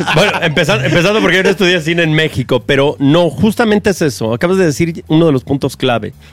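Over noticeable background noise, a man with an animated tone speaks very fast at a fairly high pitch, with very even loudness and hardly any pauses. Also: lively intonation. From Mexico City. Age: 40s. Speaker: film producer and director. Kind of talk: casual interview chat.

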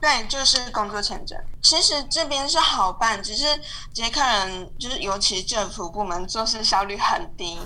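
In a room with audible echo and noticeable background noise, a woman talks at a moderate pace and fairly high pitch with lively intonation. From Taiwan. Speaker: UX designer. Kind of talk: casual interview.

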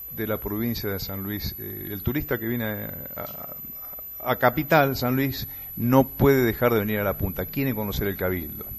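A man's unremarkable speaking voice at a moderate pace, with lively intonation. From Buenos Aires province, Argentina (Morón, western Greater Buenos Aires). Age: 60s. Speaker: tour guide and radio announcer. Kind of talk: radio interview. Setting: remote connection from another province.

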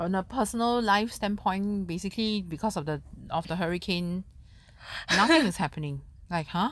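The speaker has a Singaporean accent and a moderate pace. Pitch variation is ordinary, on a very clean recording with a silent background. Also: woman, medium pitch for a woman. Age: 30s. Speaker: podcast co-host. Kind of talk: casual chat.

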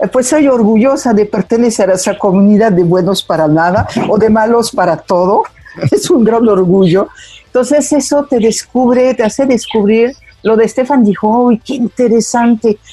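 Over noticeable background noise, a woman speaks at a moderate pace with very even loudness, a fairly high pitch and ordinary pitch variation. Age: 60s. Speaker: member of the French community in Mexico. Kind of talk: interview.

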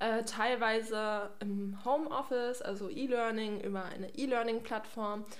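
With audible room echo and noticeable background noise, a woman speaks at a fairly slow pace and fairly high pitch, her intonation fairly even and her speech having hardly any pauses. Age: 20s. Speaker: trainee geriatric nurse, podcast co-host. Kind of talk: casual chat.

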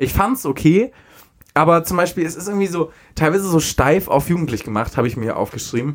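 A man speaks in a high voice with a southern German accent and a lively, bouncing intonation. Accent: rolled R, southern German. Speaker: podcast co-host. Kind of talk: casual chat.

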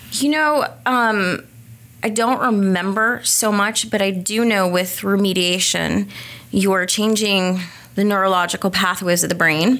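A woman speaks at a medium pitch in an ordinary speaking voice. Her pace is fairly slow, with ordinary pitch variation and very even loudness. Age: 40s. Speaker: dyslexia therapist. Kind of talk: interview.

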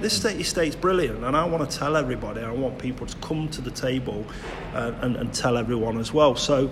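A man talks at a fairly quick pace with ordinary pitch variation. The room echo is audible and background noise is noticeable. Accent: East Midlands. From Nottingham, England (Clifton). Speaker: community podcast host. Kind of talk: casual interview. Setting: leisure centre.

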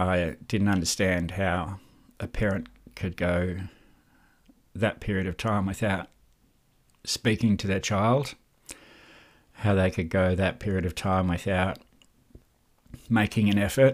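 With an Australian accent, a man talks at a fairly slow pace in a very deep, low voice, his intonation fairly even and his pauses long and frequent. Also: very clean recording, silent background. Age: 40s. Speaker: mental health podcast host. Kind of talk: personal monologue.

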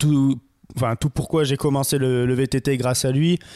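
On a very clean recording with a silent background, a man speaks at medium pitch in a monotone, flat intonation. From Marseille, southern France. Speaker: photographer and videographer. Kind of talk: casual interview chat. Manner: hesitant, many fillers.

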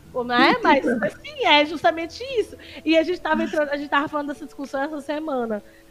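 Noticeable background noise is present throughout. The speaker goes at a very fast pace, and the pitch varies in an ordinary way. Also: woman, high pitch for a woman. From Northeast Brazil, Paraíba. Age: 30s. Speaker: streamer and social media analyst. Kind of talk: casual chat.

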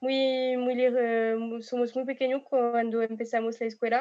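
Against a quiet background, the speaker uses monotone, flat intonation in a French accent. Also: woman. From France. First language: French (speaking Spanish). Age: 20s. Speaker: exchange student. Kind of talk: casual panel discussion. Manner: hesitant.

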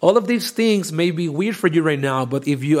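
A man is speaking. He has a strong non-native accent. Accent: thick non-native. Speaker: podcast host and data science educator. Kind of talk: live-streamed educational talk. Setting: LinkedIn Live stream. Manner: halting, many fillers.

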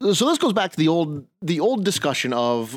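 A man at a moderate pace, with very wide pitch swings and a dry, close sound with no echo. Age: 40s. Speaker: podcast co-host, medieval living history reenactor. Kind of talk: casual chat.

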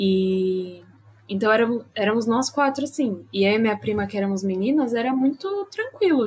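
A woman's unremarkable speaking voice, fairly high in pitch, with ordinary pitch variation at a moderate pace. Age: 20s. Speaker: streamer. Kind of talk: casual live-stream interview.

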